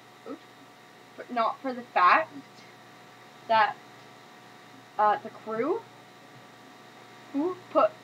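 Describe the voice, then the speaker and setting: Over light background noise, a woman uses a raised, projected voice at a very slow pace, with very wide pitch swings, big swings in loudness and long, frequent pauses. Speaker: vlogger. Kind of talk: casual talk to camera. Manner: stuttering, hesitant. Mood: indignant about the lifeboats. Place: home room. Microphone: webcam.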